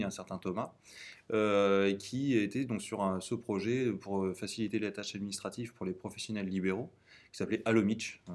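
Over a silent background in a very clean recording, a man talks at a moderate pace. He has an unremarkable speaking voice, fairly low in pitch. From central France (Tours). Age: 20s. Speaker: startup co-founder and CTO. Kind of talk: interview testimony.

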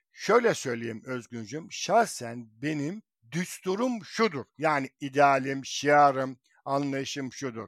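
In a very clean recording with a silent background, a man with a fairly high voice talks at a very slow pace with lively intonation. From Izmir, Turkey. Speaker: writer. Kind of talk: casual chat.

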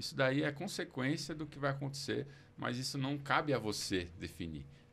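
Here a man speaks at a medium pitch. There is vocal fry in his voice. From Brazil, São Paulo. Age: 30s. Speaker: preacher. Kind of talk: casual chat.

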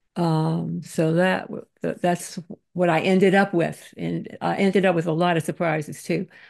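A woman's fairly low voice comes through with vocal fry and monotone, flat intonation over a quiet background. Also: moderate pace. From Louisiana. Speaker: historian and author. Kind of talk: interview. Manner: halting.

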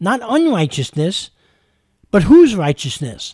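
With a New York accent and a high pitch, a man speaks at a moderate pace on a very clean recording with a silent background, the sound dry and close with no echo. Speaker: radio preacher. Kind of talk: radio sermon. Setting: studio.

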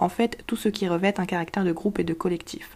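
A woman's dark, mellow voice with vocal fry, ordinary pitch variation and a fairly quick pace. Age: 20s. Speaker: podcast host. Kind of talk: scripted explainer monologue.

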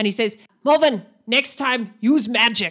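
Speaking at a moderate pace, a woman puts on a character voice with a fairly high pitch. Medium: actual play. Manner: broken clipped grammar, curt.

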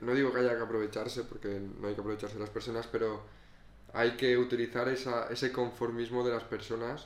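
A man talks at medium pitch. His delivery is monotone, with flat intonation. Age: 20s. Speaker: photographer and videographer. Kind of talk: casual chat. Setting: home sofa.

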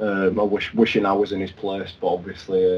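A man's fairly low voice with a Yorkshire accent. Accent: Yorkshire (Leeds). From Leeds, northern England. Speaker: Liverpool fan. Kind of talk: casual football chat.

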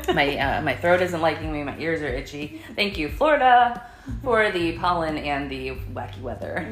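A woman uses a put-on character voice that sounds hoarse. She talks at a moderate pace over light background noise.

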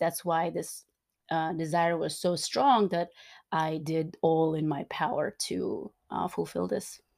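Recorded very cleanly against a silent background, a woman speaks at a fairly low pitch with a dark, mellow tone. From Turkmenistan. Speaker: coach. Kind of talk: casual chat. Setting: in person, on a couch.

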